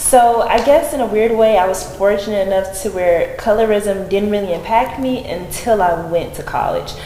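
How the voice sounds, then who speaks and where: A woman with an American accent, fairly high pitch, ordinary pitch variation, a moderate pace and hardly any pauses, over noticeable background noise. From Alabama, US South. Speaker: podcast guest, theater graduate. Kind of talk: podcast interview.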